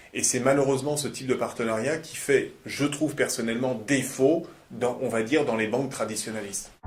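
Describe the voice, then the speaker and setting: A man speaks at a medium pitch. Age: 30s. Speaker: company founder and CEO. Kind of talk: corporate testimonial interview. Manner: hesitant, many fillers and repetitions.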